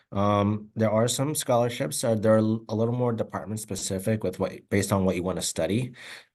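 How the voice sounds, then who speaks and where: Over a quiet background, a man with a Spanish accent and a fairly low pitch talks at a fairly quick pace with hardly any pauses and ordinary pitch variation. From Oregon, Albany. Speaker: academic advisor. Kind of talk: presentation. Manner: halting, many fillers.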